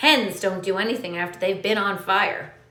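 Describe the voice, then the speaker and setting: A woman puts on a character voice at a medium pitch, shouting and cackling. Her pace is moderate, with ordinary pitch variation. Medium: read story. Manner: shouting, cackling.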